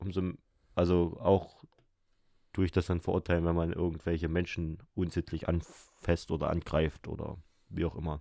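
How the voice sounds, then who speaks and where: Recorded dry and close with no echo, a man speaks at a very deep, low pitch. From Saxony, Erzgebirge. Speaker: podcast co-host. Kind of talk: casual chat.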